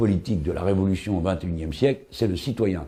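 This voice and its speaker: A man with a fairly low pitch, a dark, mellow tone and a somewhat breathy quality speaks with lively intonation. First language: French (speaking Spanish). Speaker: political commentator. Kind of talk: documentary interview. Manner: hesitant, with fillers.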